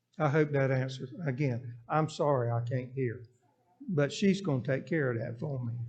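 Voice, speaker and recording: A man with a Southern US accent talks at a moderate pace and medium pitch, with ordinary pitch variation. His voice is somewhat breathy, and audible room echo surrounds it. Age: 70s. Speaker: interim pastor. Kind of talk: Q&A session in church. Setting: church.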